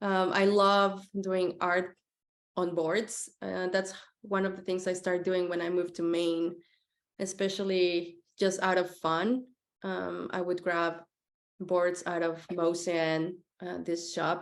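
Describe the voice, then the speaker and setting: A woman with a Spanish accent speaks very slowly in a fairly low voice, her intonation monotone and flat. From Mexico City. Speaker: graphic designer. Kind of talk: presentation talk. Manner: hesitant, many fillers.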